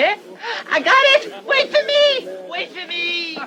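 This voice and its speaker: In a put-on character voice, the speaker talks very slowly at an extremely high pitch with very wide pitch swings, while loud background noise plays behind. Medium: short film. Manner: rustic, ungrammatical.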